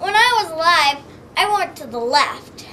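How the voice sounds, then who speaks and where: A woman uses a put-on character voice at an extremely high pitch. Clear background noise can be heard. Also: moderate pace. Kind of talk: folk tale comic storytelling. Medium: read story. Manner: naive, literal.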